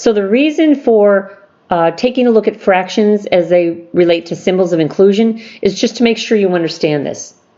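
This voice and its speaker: A woman speaks at medium pitch with lively intonation. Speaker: math teacher. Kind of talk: lecture. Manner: fast.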